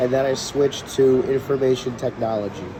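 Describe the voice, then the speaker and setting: Moderate pace and fairly even intonation in an American accent, over noticeable background noise. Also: man. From New York City. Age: 20s. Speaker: city IT specialist. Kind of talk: interview answer.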